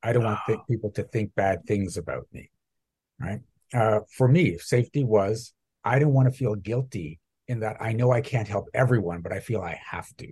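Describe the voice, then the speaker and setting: With a dark, mellow tone and a somewhat breathy quality, a man speaks at a moderate pace, his loudness swinging widely. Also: medium pitch for a man, ordinary pitch variation. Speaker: mindset coach for entrepreneurs. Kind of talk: podcast interview.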